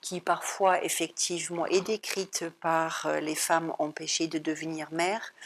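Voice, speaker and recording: A woman speaks with a fairly low pitch. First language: German (speaking French). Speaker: psychologist and psychoanalyst. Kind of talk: talk at an art gallery. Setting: art gallery talk. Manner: hesitant, many filler sounds.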